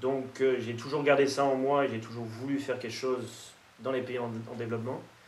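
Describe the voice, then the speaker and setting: Over light background noise and audible room echo, a man talks at a fairly quick pace in a monotone, flat intonation. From France. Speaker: nutrition expert. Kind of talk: interview monologue. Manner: hesitant with repetitions. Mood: calm, reflective. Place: meeting room.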